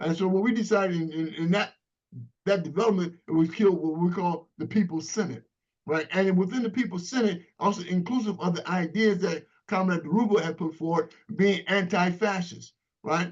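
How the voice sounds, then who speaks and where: A man's voice, high in pitch, at a fairly quick pace. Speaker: former political prisoner and activist. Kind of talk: panel discussion. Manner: halting.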